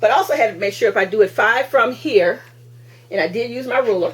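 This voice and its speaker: A woman talking at a fairly quick pace amid noticeable background noise. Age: 60s. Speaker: crafting video host. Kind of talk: tutorial. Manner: halting; casual.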